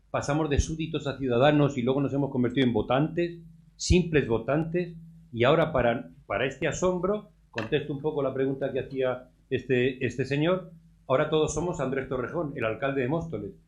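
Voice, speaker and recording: A man with a fairly high pitch. His voice is somewhat breathy. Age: 60s. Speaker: audience member commenting. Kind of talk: audience comment at round table. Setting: round table event with audience.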